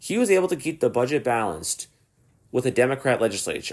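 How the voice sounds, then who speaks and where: A man with an American accent speaks at a medium pitch with vocal fry. His pace is fairly quick, and the recording is very clean, with a silent background. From New Jersey. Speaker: political podcast host. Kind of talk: political commentary monologue.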